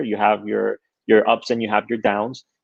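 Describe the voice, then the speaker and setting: Recorded dry and close with no echo over a quiet background, a man with a Spanish accent talks at a fairly quick pace. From Queens, New York (born in Honduras). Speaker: tech entrepreneur. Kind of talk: interview. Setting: live stream.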